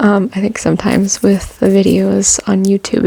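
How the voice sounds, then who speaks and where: Soft-spoken, relaxed-toned speech at a moderate pace over noticeable background noise. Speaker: ASMR creator with chronic illness. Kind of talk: casual ASMR talk to camera.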